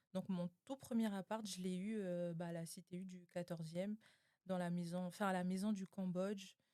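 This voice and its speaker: At a moderate pace, a woman speaks with medium pitch, a dark, mellow tone and monotone, flat intonation, in a dry, close sound with no echo. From New Caledonia. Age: 20s. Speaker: podcast guest. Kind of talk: casual interview.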